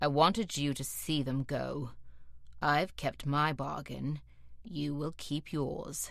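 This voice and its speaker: Someone uses a put-on character voice at a low-to-middle pitch. The pace is fairly slow, and the background is quiet. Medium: read story. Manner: cold, menacing, controlled.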